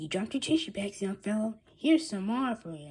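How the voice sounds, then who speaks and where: A woman's put-on character voice at medium pitch, with very wide pitch swings and a fairly quick pace. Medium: read story. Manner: jolly, salesmanlike.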